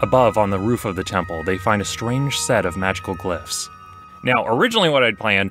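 A man's lively intonation at a fairly quick pace, over music in the background, with dry sound and no echo. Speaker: game master narrator. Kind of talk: storytime commentary. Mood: amused, wry.

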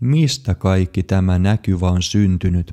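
A man speaks at a very slow pace in a dark, mellow tone. The recording is very clean, with a silent background and a dry, close sound with no echo. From Finland. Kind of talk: personal testimony, scripted narration.

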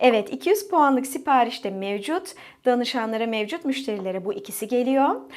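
Over a very clean recording with a silent background, a woman talks at a moderate pace in a high pitch with very wide pitch swings. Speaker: essential oil sales consultant. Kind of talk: sales pitch.

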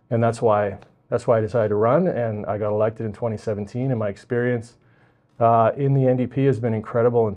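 A man talks with a Western Canadian accent in a monotone, flat delivery. The background is quiet. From Vancouver Island, British Columbia, Canada; British Columbia, Canada. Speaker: provincial politician, election candidate. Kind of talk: interview. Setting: library. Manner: halting, many fillers and repetitions. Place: studio. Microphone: lapel.

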